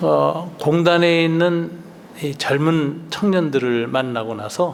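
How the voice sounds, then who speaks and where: A man speaks at a very slow pace with ordinary pitch variation. Noticeable background noise and audible room echo are present. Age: 60s. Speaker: retired pastor. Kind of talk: lecture. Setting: retreat with audience.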